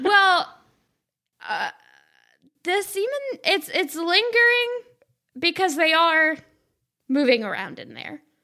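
Speaking in an American accent, a woman projects a raised voice with a bright, sharp tone at an extremely high pitch, her pitch swinging very widely and her loudness shifting greatly, at a very slow pace broken by long, frequent pauses. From US South. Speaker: podcast guest. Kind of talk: casual chat.

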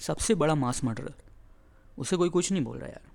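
In a dark, mellow tone, a man talks at a moderate pace. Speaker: stand-up comedian and podcaster. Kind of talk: casual monologue. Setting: outdoors on a balcony. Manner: monotone.

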